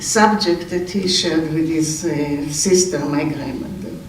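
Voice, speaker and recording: A man speaks with an Israeli accent and ordinary pitch variation. The recording has audible room echo and noticeable background noise. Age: 80s+. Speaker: relative giving memorial speech. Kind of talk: memorial eulogy. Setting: memorial gathering. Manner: halting, with hesitations.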